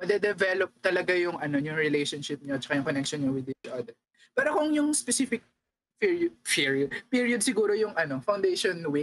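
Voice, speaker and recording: Her pitch swinging very widely, a woman talks at a fairly quick pace. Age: 20s. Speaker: podcast co-host. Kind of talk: casual chat.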